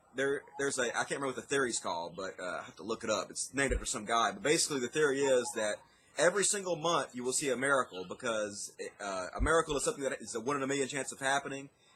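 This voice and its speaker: Against noticeable background noise, a man with a fairly high pitch and lively intonation talks at a very fast pace. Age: 30s. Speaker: atheist YouTuber. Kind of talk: interview answer.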